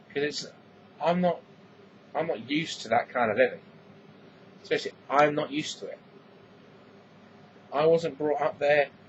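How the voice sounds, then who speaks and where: Speaking at a moderate pace with fairly even intonation, a man with an English accent leaves long, frequent pauses. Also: fairly high pitch for a man. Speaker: vlogger. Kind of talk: casual vlog monologue.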